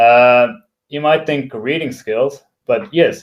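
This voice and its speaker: At a fairly slow pace, a man with a non-native accent speaks in a fairly high pitch. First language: not English. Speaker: software developer and tech blogger. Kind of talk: talk. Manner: hesitant, many fillers.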